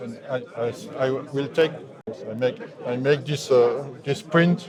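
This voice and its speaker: A man with a French accent at a fairly slow pace, his pitch varying in an ordinary way, over noticeable background noise. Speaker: synthesizer maker. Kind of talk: interview. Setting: trade fair booth. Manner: halting.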